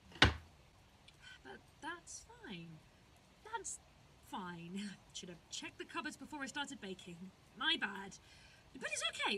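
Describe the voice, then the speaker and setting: A woman's shaky, high-pitched, put-on character voice at a fairly slow pace with long, frequent pauses over loud background noise. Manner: forced calm, shaky.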